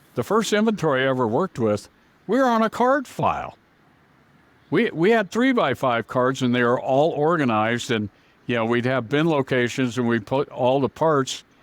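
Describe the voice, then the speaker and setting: Here is a man with a normal speaking voice, medium pitch and a moderate pace. His intonation is lively and his loudness very even. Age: 60s. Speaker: auto parts software company founder. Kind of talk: interview. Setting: podcast.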